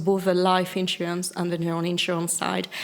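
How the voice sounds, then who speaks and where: A woman talks in a French accent at a medium pitch, her intonation monotone and flat. Noticeable background noise runs under her voice. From France. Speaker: chief risk officer. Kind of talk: interview. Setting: live at a conference.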